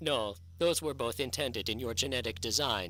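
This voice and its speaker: In a put-on character voice, a man speaks at a moderate pace and a medium pitch, recorded very cleanly against a silent background. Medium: audio drama. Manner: sad, reticent.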